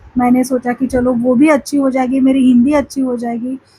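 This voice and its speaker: Speaking in a Marathi accent, a woman with a high pitch keeps her intonation monotone and flat. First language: Marathi (speaking Hindi). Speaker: spiritual vlogger. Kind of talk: casual vlog talk to camera. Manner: halting, many fillers.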